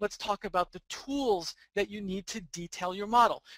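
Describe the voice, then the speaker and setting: Heard dry and close with no echo, a man speaks in a bright, sharp tone at a high pitch. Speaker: 3D rendering instructor and author. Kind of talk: webinar tutorial presentation. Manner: fast.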